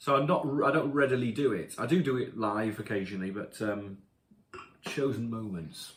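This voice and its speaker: A man speaks at a moderate pace with a medium-pitched, somewhat breathy voice. His intonation is lively. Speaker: rock singer. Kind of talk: casual chat. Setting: home. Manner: halting.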